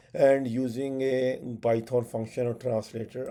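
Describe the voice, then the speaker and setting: Here a man with a Pakistani accent speaks in a dark, mellow tone. His delivery is very slow, with monotone, flat intonation. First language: Urdu. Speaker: tech educator. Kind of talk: tutorial. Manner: halting, many fillers.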